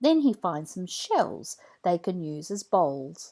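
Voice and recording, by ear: A woman speaks slowly in a fairly low, dark and mellow voice with big swings in pitch.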